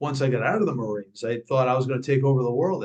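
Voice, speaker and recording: A very fast man with an American accent and a fairly high pitch. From New York. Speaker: speaking and fitness coach, former Marine. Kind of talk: interview.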